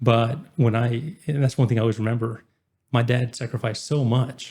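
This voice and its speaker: Delivered at a moderate pace, the speech keeps a fairly even intonation. Its tone is dark and mellow, with a somewhat breathy quality. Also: man, medium pitch for a man. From Oklahoma, small town Kingfisher. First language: Spanish. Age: 20s. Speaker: entrepreneur. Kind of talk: podcast interview.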